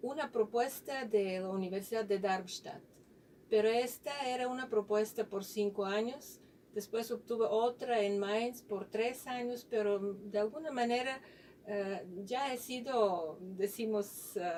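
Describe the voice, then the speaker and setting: With a non-native accent, a woman speaks at fairly high pitch, with ordinary pitch variation and a fairly slow pace. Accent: foreign, non-local accent in Spanish. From Bulgaria. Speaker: physicist, university researcher. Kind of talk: radio interview. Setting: radio studio.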